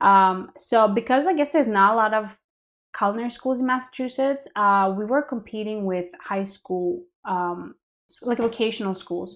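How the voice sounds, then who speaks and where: A woman with a Greek accent on a very clean recording with a silent background. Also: fairly high pitch for a woman, ordinary pitch variation, moderate pace. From Greece. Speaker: line cook. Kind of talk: casual chat.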